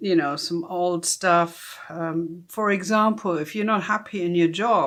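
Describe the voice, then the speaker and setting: Speaking with a German accent, a woman uses a fairly low pitch and ordinary pitch variation against a quiet background. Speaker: tarot reader. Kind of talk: casual unboxing tutorial. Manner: hesitant, many fillers.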